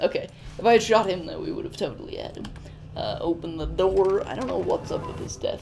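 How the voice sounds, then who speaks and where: The man's delivery is very fast. Noticeable noise runs behind him. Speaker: gaming YouTuber. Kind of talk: let's play commentary. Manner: casual, halting with fillers.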